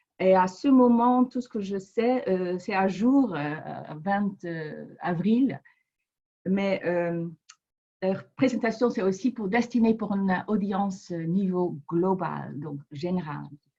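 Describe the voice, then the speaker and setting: A woman speaks at a very slow pace in a medium-pitched, somewhat breathy voice with a dark, mellow tone and ordinary pitch variation. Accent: non-native. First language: not French (speaking French). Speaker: public health researcher. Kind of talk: webinar presentation. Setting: online webinar. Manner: halting, many hesitations.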